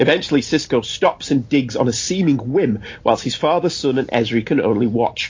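A man talks fairly quickly in an English accent. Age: 40s. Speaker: podcast host. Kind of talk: casual banter, TV episode discussion.

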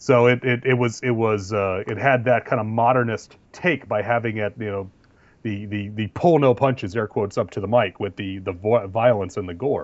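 A man with a plain, everyday voice, medium pitch and moderate pace. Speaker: podcast co-host. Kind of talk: casual banter podcast chat.

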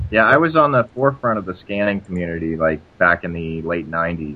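A man's very deep, low voice at a moderate pace. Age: 40s. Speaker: comics history podcaster. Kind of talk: casual chat. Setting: remote call.

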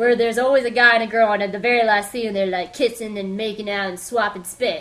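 A woman's voice amid noticeable background noise. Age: 20s. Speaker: podcast host. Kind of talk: solo pop-culture review.

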